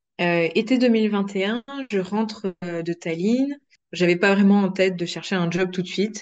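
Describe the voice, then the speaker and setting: A woman's medium-pitched voice, fairly slow and fairly even in intonation. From France. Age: 20s. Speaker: process engineer. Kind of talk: interview. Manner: hesitant, many fillers.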